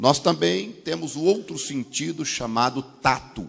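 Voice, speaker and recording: A man speaks at a very slow pace with vocal fry. His pitch sits in the medium range. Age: 40s. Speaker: pastor. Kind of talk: sermon. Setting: church service, visiting in Argentina. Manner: simple, plain wording.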